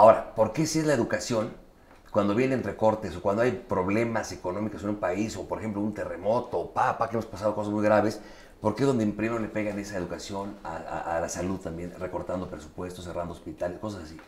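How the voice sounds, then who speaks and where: A man talks at a very fast pace. His pitch is fairly low, with ordinary pitch variation. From Mexico. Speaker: interviewer. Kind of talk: casual interview. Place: home room. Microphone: lapel.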